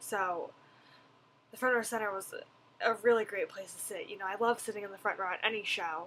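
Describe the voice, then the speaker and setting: A woman speaks loudly at a fairly quick pace, with long, frequent pauses. Her tone is bright and sharp, and her pitch is medium. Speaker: vlogger. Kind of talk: video blog review. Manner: animated.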